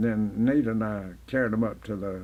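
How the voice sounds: Fairly low in pitch, a man speaks at a fairly slow pace with a slightly mellow tone.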